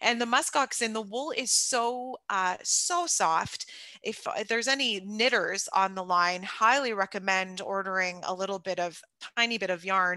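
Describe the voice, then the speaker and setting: Her voice sits at a medium pitch. The pitch moves up and down an ordinary amount. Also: moderate pace. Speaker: expedition cruise company presenter. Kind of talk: slide presentation to webinar audience. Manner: loud; animated.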